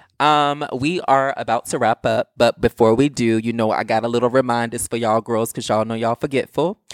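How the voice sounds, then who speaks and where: Animated in tone, a man speaks with an American accent in a very clean recording with a silent background. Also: dry, close sound with no echo. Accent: Southern US, strong when animated. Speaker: podcast co-host. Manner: animated, sassy.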